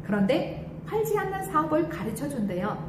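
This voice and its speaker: A woman at a moderate pace with very wide pitch swings, amid noticeable background noise and audible room echo. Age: 60s. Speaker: former hair salon owner turned cosmetics distributor. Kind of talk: testimony.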